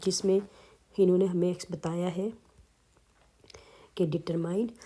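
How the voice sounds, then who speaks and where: At a fairly slow pace, a woman talks in a medium pitch with monotone, flat intonation. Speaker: math teacher. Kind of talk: tutorial. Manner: code-switching Urdu and English.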